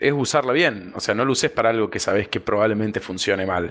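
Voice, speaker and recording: The recording is very clean, with a silent background. The speaker has a plain, everyday voice. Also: man. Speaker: policy analyst. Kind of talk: podcast guest conversation.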